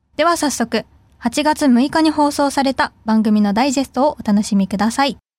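Delivered at a moderate pace with ordinary pitch variation and very even loudness, the voice comes through a very clean recording with a silent background and a dry, close sound with no echo. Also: woman, high pitch for a woman. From Fukuoka, Japan. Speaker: student radio host. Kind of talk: casual chat.

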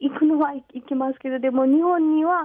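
In a Nepali accent, a woman speaks at a high pitch. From Nepal, Pokhara. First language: Nepali (speaking Japanese). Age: 20s. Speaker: guest. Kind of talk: radio interview. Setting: phone call. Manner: halting.

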